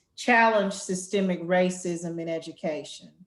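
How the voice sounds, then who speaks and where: In a Southern US accent, a woman talks at a moderate pace. Her pitch sits in the medium range with ordinary variation. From Arkansas Delta, US South. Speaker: education nonprofit executive, panel moderator. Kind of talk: webinar panel moderation. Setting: online webinar.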